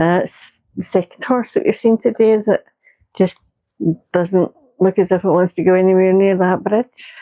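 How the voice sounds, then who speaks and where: With a Scottish accent, a woman speaks at a moderate pace and medium pitch in a dark, mellow tone, leaving long, frequent pauses in a dry, close sound with no echo. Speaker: vlogger. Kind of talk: casual chat. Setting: outdoors. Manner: loud.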